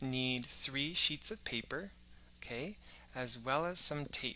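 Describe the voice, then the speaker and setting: Soft-spoken and at a fairly slow pace, a man talks at a fairly high pitch with a bright, sharp tone. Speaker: science educator. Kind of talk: live-stream kids' science show. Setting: live stream on social media. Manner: friendly, addresses kids warmly.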